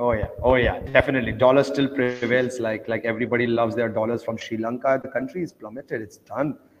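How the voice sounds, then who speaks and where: A man's medium-pitched voice, monotone and flat, at a very fast pace over noticeable background noise. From India, grew up in Oman. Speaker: traveler promoting Bitcoin. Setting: call from Kenya.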